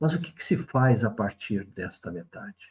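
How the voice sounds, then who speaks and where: At a fairly slow pace, a man talks at medium pitch. His voice is somewhat breathy. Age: 60s. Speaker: spiritual commentator, video essayist. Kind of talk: reflective monologue. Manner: conversational, reflective.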